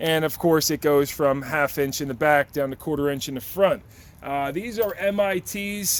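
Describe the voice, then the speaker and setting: A man speaks in a plain, everyday voice at a moderate pace. His pitch is fairly high, with ordinary pitch variation. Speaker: auto mechanic. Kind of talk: tool tour tutorial.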